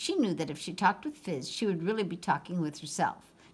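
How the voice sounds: What you hear is a natural reading voice.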